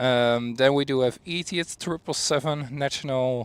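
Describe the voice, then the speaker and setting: A man talks with a Dutch accent at a medium pitch. His pitch variation is ordinary. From Netherlands. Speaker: planespotting livestreamer. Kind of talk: live commentary. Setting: outdoors by runway.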